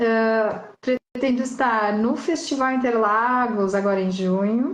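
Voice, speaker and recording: Very slow woman's voice with ordinary pitch variation. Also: fairly high pitch for a woman. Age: 40s. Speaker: motorcycle rally racer. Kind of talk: casual interview chat.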